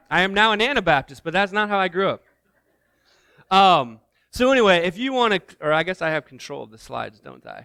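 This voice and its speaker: Raised, projected male voice with an American accent, high pitch, bright and sharp tone, very fast pace and long, frequent pauses. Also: big swings in loudness, very clean recording, silent background. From US Midwest (Indiana). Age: 40s. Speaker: missions director, guest speaker. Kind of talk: sermon. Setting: church. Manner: loud.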